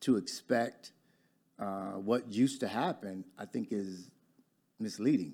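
The tone is dark and mellow, with an American accent and ordinary pitch variation. Long, frequent pauses break up the speech on a very clean recording with a silent background. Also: man. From Detroit, Michigan. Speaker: business owner and former life coach. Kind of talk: casual chat, livestream.

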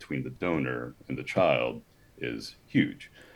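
A man with an American accent speaks in a very deep, low pitch with vocal fry and ordinary pitch variation. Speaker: former sperm donor. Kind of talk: interview.

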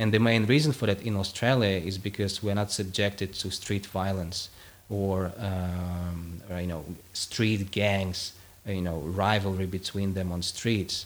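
Speaking with a Russian accent, a man talks fairly slowly in a fairly low pitch with fairly even intonation. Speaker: philosophy academic. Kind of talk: interview conversation. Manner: hesitant with repetitions.

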